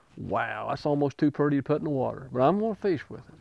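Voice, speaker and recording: A man with a fairly high pitch speaks with an Appalachian accent. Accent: Appalachian American. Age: 60s. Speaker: retired pipe fitter and lure maker. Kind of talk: interview answer. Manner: casual, folksy.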